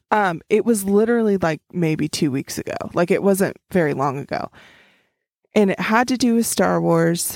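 An American accent marks this woman's ordinary speaking voice, medium in pitch, moderate in pace and lively in intonation, on a very clean recording with a silent background and a dry, close sound with no echo. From Oklahoma. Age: 30s. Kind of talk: casual chat.

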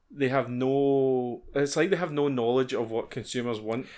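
A man with a Scottish accent speaks at a moderate pace and medium pitch, with ordinary pitch variation. The recording is very clean, with a silent background. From Scotland. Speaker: podcast co-host. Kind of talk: casual chat.

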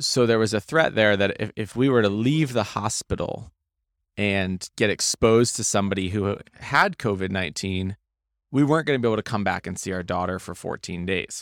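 Recorded very cleanly with a silent background and a dry, close sound with no echo, a man with an ordinary speaking voice and an American accent speaks fairly quickly in a fairly low pitch. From Maine, US. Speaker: real estate investor. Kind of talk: interview. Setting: event recording booth.

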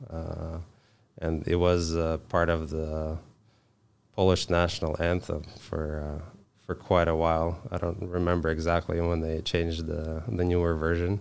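With a very deep, low pitch, a man speaks fairly slowly in a monotone, flat intonation. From Moldova. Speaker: tradesperson, finishing business owner. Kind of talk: casual interview. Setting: studio. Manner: soft-spoken.

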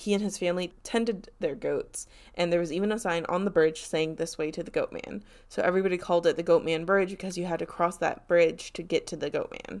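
A woman's fairly low, fairly even voice in an American accent, fairly quick, on a very clean recording with a silent background. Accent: slight Southern, said to be fairly accentless. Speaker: podcast co-host. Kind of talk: casual chat with storytelling.

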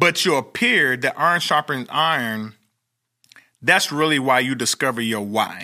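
In an American accent, a man of medium pitch speaks at a fairly slow pace with long, frequent pauses, a bright, sharp tone, and ordinary pitch variation on a very clean recording with a silent background. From Oklahoma. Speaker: motivational speaker and stadium hype man. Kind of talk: interview. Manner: animated.

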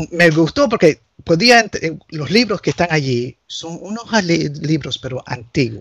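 Recorded dry and close with no echo, a man speaks fairly slowly in a high voice, with lively intonation and big swings in loudness. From US, Nicaraguan family. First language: English (speaking Spanish). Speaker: canon lawyer. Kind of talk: casual interview chat.

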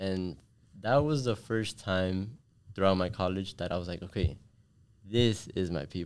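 With an American accent, a man with a very deep, low pitch speaks at a moderate pace with ordinary pitch variation and long, frequent pauses. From US, Miami. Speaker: engineering student and tech consultant. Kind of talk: interview.

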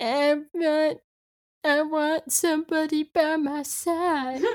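A put-on character voice, high-pitched and very slow. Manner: silly, cartoonish.

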